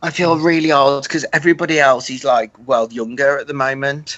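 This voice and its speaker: A man with a British accent, fairly high in pitch, with fairly even intonation. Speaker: author. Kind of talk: casual chat.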